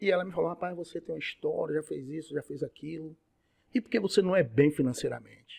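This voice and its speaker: A man talks at a very fast pace with a fairly high pitch. His pitch varies in an ordinary way. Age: 60s. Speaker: radiology technician and lecturer. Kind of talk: podcast interview.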